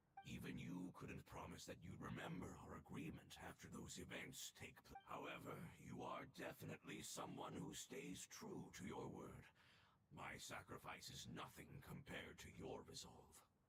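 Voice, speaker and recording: A put-on character voice growls at a moderate pace. Loud background noise runs behind it. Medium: video game. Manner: solemn, measured.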